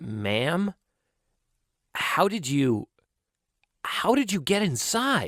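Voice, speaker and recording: Putting on a character voice, a man speaks very slowly at a high pitch, shaky, with very wide pitch swings and long, frequent pauses. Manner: broken, shaky.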